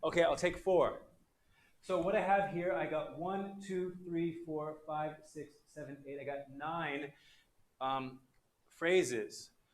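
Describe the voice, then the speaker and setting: A high-pitched man talks very slowly with long, frequent pauses. His loudness swings widely, and the room echo is audible. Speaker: English teacher. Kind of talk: online class lecture. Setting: livestream. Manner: animated.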